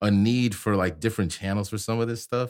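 A man speaks at a moderate pace with medium pitch in a plain, everyday voice. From US Midwest, Chicago. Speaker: DJ instructor. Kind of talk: casual chat.

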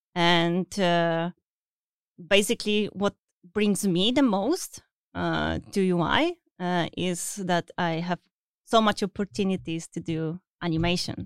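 Speaking very slowly with a non-native accent, a woman with a fairly low pitch and ordinary pitch variation is heard in a dry, close sound with no echo, on a very clean recording with a silent background. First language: not English. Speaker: UI artist for video games. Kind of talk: casual interview. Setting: studio. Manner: halting, many fillers.

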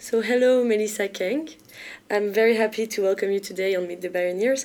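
A woman speaks fairly quickly with a French accent. Her intonation stays fairly even. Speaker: podcast host. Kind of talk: interview.

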